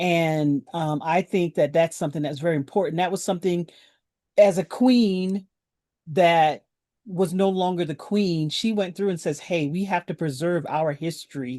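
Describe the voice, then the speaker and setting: With an American accent, a woman speaks in a plain, everyday voice at a fairly low pitch, a moderate pace and ordinary pitch variation, in a dry, close sound with no echo. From South Carolina. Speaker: quilt guild leader. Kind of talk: panel discussion.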